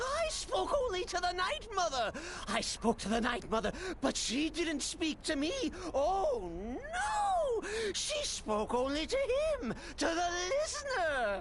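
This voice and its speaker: Over loud background noise, a man puts on a character voice. He goes at a fairly slow pace in a sing-song manner. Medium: video game. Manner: erratic, giggling, sing-song.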